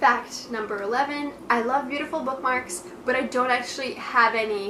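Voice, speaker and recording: At a moderate pace and with ordinary pitch variation, the speech carries noticeable background noise and audible room echo. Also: woman, high pitch for a woman. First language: Russian. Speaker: book vlogger. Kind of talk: casual talking-head video monologue. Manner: casual with frequent fillers.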